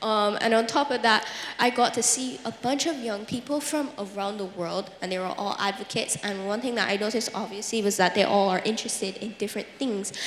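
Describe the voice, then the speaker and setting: A woman's fairly high voice at a fairly quick pace, with ordinary pitch variation and hardly any pauses, amid audible room echo and noticeable background noise. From Barbados. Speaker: youth advocate. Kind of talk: panel discussion. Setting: stage with audience. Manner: chatty.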